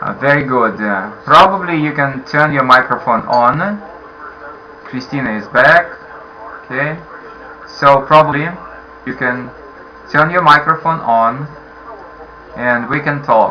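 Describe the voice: In a room with audible echo, a man speaks at a fairly slow pace with a medium pitch, a bright, sharp tone and ordinary pitch variation.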